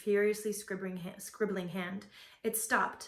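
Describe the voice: This is plain reading aloud. Nothing more to it.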